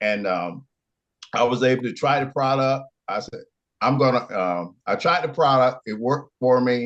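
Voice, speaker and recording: In an Alabama accent, a man talks at a moderate pace with a medium pitch and ordinary pitch variation. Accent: Southern US (Alabama). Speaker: product testimonial giver. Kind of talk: testimony. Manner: halting.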